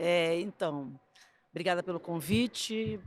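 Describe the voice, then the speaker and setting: A woman with a Rio de Janeiro accent, her pitch fairly low and her pitch variation ordinary. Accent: carioca. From Brazil, Rio de Janeiro. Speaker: gymnastics coach and judge. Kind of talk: interview storytelling.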